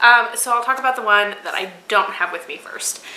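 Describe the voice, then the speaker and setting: The speech comes at a moderate pace. There is audible room echo and noticeable background noise. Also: woman. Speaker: knitting podcast host. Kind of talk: casual video podcast monologue. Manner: casual with frequent fillers.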